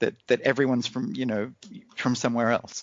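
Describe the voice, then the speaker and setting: Talking at a very fast pace, a man with an American accent has a medium pitch. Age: 40s. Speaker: podcast guest, new regular. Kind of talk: casual chat. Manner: halting, many repeats.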